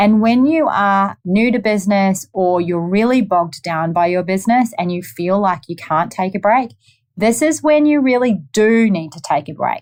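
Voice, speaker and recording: A woman with a New Zealand accent, upbeat and enthusiastic, with lively intonation at a moderate pace over a quiet background. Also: medium pitch for a woman. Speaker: podcast host, lawyer and entrepreneur. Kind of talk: solo podcast monologue. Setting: at her office desk. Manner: upbeat, enthusiastic.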